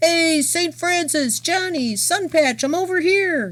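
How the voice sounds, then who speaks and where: The voice is a put-on character voice pitched extremely high. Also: fairly slow pace. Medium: read story.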